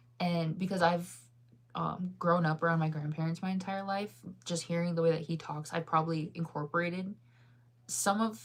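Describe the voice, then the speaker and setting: A woman speaks at a fairly quick pace in a fairly low, somewhat breathy voice. Her intonation is fairly even. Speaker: livestreamer. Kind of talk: casual chat. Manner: rambling filler-heavy speech.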